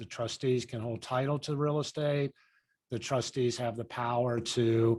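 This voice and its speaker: A man talks at a moderate pace with medium pitch and fairly even intonation. He has an unremarkable speaking voice. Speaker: lawyer teaching real estate agents. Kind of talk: online class. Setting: video call with screen share.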